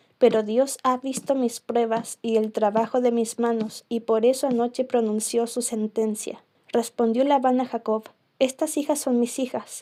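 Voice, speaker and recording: A soft-spoken woman's high-pitched voice in a dark, mellow tone, flat and monotone at a fairly slow pace, on a very clean recording with a silent background. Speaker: ASMR creator. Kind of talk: bible reading.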